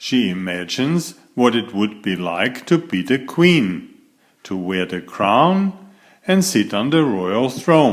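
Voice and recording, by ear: A passage is read aloud in a natural voice.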